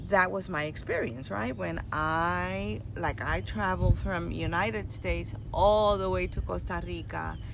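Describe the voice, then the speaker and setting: A woman at a fairly slow pace with hardly any pauses, with audible room echo. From New York and Puerto Rico (moved at eight). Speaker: nurse and retreat host. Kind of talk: casual talk to a group.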